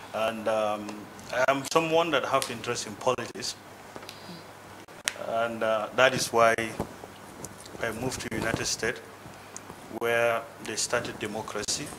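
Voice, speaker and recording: A man with a Nigerian accent at medium pitch, moderate pace and fairly even intonation, with long, frequent pauses and noticeable background noise. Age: young. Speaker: guest speaker, politically interested diaspora Nigerian. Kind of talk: speech to a group.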